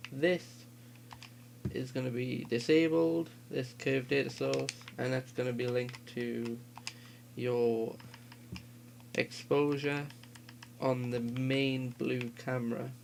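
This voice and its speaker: The speech is very slow, with long, frequent pauses. Noticeable background noise runs underneath. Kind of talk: game editor tutorial. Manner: casual.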